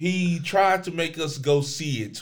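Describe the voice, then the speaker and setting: Vocal fry runs through this man's speech as he talks at a very slow pace. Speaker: student podcast host. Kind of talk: casual chat. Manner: playful.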